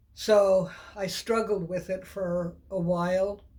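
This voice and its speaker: A woman speaks in a flat monotone at a medium pitch. Her voice is somewhat breathy. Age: 70s. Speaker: woman sharing personal abortion story. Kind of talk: personal testimony.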